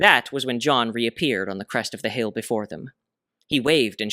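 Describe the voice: In a quiet background, plain reading aloud carries ordinary pitch variation.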